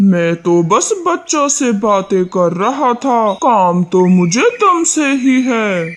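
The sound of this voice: A cartoonish character voice at a fairly high pitch moves at a very slow pace with hardly any pauses. Light background noise sits behind it.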